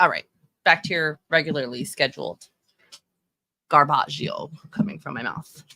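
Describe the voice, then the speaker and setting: Her tone bright and sharp, a woman with an American accent and a very deep, low pitch speaks with lively intonation in a dry, close sound with no echo. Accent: Texan accent, shows when nervous. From Texas. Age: 30s. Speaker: livestreamer and fashion commentator. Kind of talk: casual live-stream commentary. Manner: casual, halting with many fillers.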